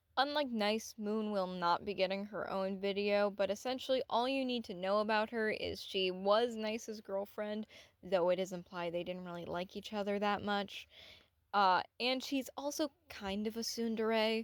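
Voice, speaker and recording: In a very clean recording with a silent background, a woman with a plain, everyday voice speaks at a medium pitch and a moderate pace, her pitch varying normally. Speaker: anime analysis YouTuber. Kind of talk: scripted video essay.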